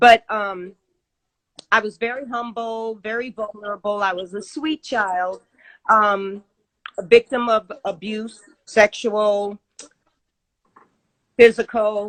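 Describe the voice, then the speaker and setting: Her fairly high-pitched voice moves at a very slow pace with fairly even intonation, and this woman leaves long, frequent pauses. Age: 60s. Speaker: vegan chef and fitness expert. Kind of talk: interview.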